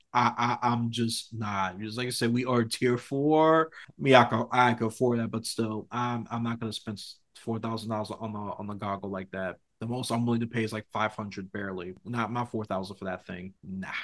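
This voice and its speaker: A man with an ordinary speaking voice talks at a fairly quick pace and medium pitch with fairly even intonation. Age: 30s. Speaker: podcast host. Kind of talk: casual chat.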